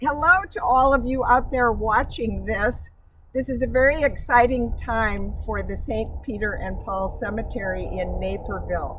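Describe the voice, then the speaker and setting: Noticeable background noise accompanies speech that comes fairly slowly. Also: woman. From US Midwest, Illinois. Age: 70s. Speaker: local historian. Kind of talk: guided tour talk. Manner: slightly halting.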